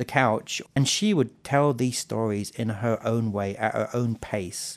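With a southern English accent, a man speaks at a medium pitch with fairly even intonation. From southern England. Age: 40s. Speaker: storytelling festival president. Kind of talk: interview.

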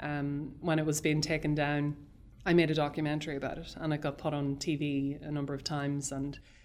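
In a Northern Irish accent, a woman talks at a fairly quick pace. Her pitch is very deep and low, and her intonation is monotone and flat. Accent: Northern Irish border. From Irish border, South Armagh / Dundalk area. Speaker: film director. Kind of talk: interview. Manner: halting.

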